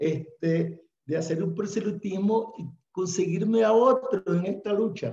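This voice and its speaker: High in pitch, a man's voice moves at a fairly slow pace. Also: ordinary pitch variation. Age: 60s. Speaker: audience member, church activist. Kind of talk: panel discussion. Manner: halting.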